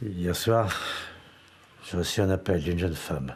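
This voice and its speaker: A very deep, low pitch marks this voice. It belongs to a man. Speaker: actor. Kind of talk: acting reel scenes.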